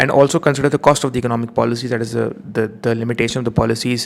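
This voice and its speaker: A man at a medium pitch, very fast, with fairly even intonation. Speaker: economics teacher. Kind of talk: revision lecture.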